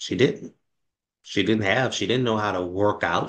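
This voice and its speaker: Lively intonation runs through this man's speech in a New Orleans accent. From New Orleans, Louisiana. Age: 30s. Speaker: fitness program founder. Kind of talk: interview. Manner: halting, many fillers.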